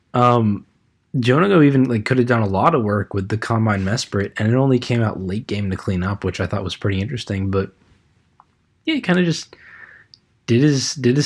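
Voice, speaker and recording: This man has an ordinary speaking voice at medium pitch. He talks at a fairly quick pace. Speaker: podcast host discussing competitive Pokemon. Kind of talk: casual chat.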